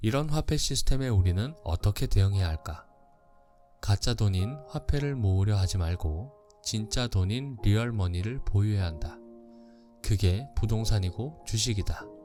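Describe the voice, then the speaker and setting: Music plays in the background as the speech moves at a moderate pace. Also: man, fairly low pitch for a man, lively intonation. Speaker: audiobook narrator. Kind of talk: audiobook reading of a finance book.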